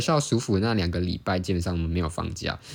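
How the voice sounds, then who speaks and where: Very fast speech comes from a man with ordinary pitch variation. The recording is very clean, with a silent background. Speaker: student competitive sport stacker and podcaster. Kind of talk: casual solo podcast monologue.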